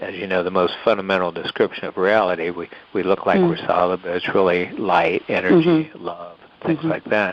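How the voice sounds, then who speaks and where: Noticeable background noise lies under moderately paced speech whose pitch varies in an ordinary way. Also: man. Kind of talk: interview answer.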